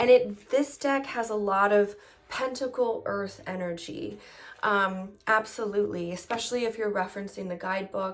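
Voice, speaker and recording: Her voice is a normal speaking voice at a medium pitch, and the woman talks at a moderate pace. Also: ordinary pitch variation. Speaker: tarot reader. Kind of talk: tutorial. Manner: casual with filler words.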